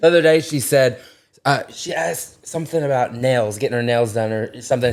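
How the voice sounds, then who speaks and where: A man speaks with an Arkansas accent at a fairly quick pace, his tone animated. His pitch is medium with ordinary variation. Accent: Southern US (Arkansas) twang. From Arkansas (small town, Corning). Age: 20s. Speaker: social media influencer. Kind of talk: casual chat.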